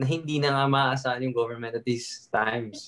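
A man speaks fairly quickly at a fairly high pitch with fairly even intonation. His is a plain, everyday voice. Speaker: podcast co-host and TikToker. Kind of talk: casual chat.

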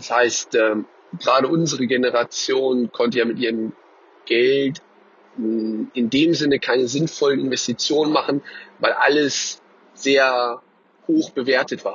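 A man's medium-pitched voice, fairly even in intonation, at a fairly slow pace with long, frequent pauses. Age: 20s. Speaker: business owner. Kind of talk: voice message monologue. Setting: WhatsApp voice message.

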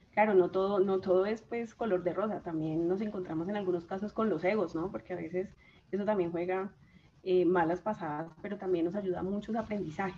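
Amid noticeable background noise, a woman with a medium-pitched voice speaks fairly quickly with fairly even intonation. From Colombia, Chaparral, Tolima. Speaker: systems engineer and agile coach. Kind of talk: casual interview. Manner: halting, many repetitions.

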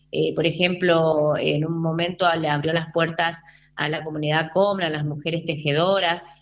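This woman has a fairly low pitch. She talks at a moderate pace in a monotone, flat intonation. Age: 40s. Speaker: theatre artist and TV presenter. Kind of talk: radio phone interview. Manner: halting, many repetitions and fillers.

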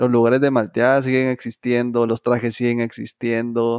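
A man talks at a moderate pace and medium pitch, in a flat monotone. The recording is very clean, dry and close, with a silent background and no echo. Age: 20s. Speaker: podcast co-host. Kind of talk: casual chat.

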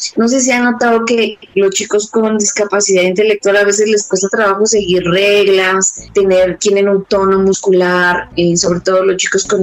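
A woman's fairly even intonation, with music in the background. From Mexico City. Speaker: dance movement therapist and dance company director. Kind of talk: interview.

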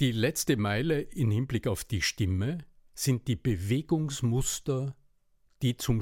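A man speaks at a fairly slow pace with lively intonation, a medium pitch, and a somewhat breathy quality. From Upper Austria. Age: 60s. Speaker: voice and rhetoric coach. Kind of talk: interview. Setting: remote podcast recording.

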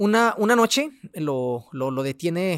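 A man at a fairly slow pace with lively intonation, very cleanly recorded over a silent background. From Mexico, Ciudad Juárez, Chihuahua. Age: 20s. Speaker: doctor and pharmacy owner. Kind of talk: testimony. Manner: halting.

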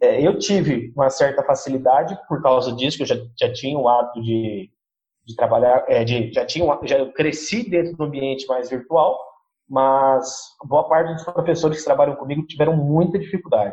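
This man's voice is fairly high and somewhat breathy, with ordinary pitch variation. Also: moderate pace. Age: 20s. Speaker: schoolteacher. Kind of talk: interview.

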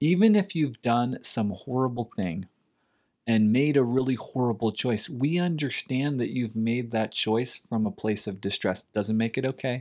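Using an ordinary speaking voice, a man with an American accent talks at a moderate pace and medium pitch with ordinary pitch variation, on a very clean recording with a silent background. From US Northeast, Philadelphia suburbs. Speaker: podcast co-host, therapist. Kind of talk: casual chat.

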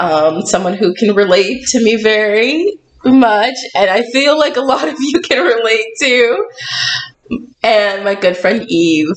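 With a normal speaking voice, a woman talks at a fairly high pitch and fairly slow pace, her intonation lively and her loudness very even. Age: 20s. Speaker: podcast host. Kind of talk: casual chat. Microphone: poor sound quality.

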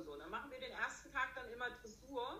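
Audible room echo surrounds the voice. A woman speaks in a bright, sharp tone. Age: 50s. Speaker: riding instructor and dressage judge. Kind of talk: interview.

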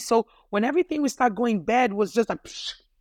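With a Portuguese accent, a woman speaks in a dry, close sound with no echo, on a very clean recording with a silent background. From Brazil (Rio de Janeiro). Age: 50s. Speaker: guest sharing personal story of loss. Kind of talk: testimony. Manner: halting, with repetitions.

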